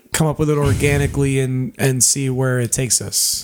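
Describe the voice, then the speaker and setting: With fairly even intonation and a medium pitch, a man speaks at a moderate pace amid noticeable background noise. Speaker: podcast host and cover band musician. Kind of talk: casual banter. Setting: studio. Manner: soft-spoken.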